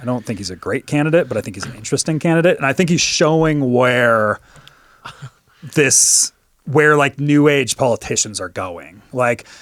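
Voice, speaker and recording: Lively intonation from a man at medium pitch, moderately paced, with big swings in loudness and a dry, close sound with no echo. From Canada. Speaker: political podcast co-host. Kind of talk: casual political discussion.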